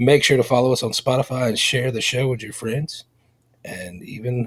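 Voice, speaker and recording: A somewhat breathy man speaks with big swings in loudness. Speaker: podcast host. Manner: promo read.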